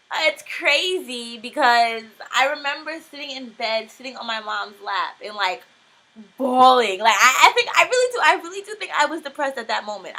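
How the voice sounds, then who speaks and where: A woman's raised, projected voice at a high pitch and moderate pace, with big swings in loudness. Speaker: homeschooled student. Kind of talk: casual talk to camera.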